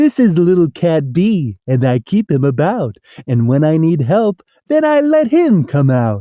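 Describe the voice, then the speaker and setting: A put-on character voice sits at a middle pitch. It moves along at a moderate pace. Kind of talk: rhyming read-aloud. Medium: read story. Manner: eager, busy.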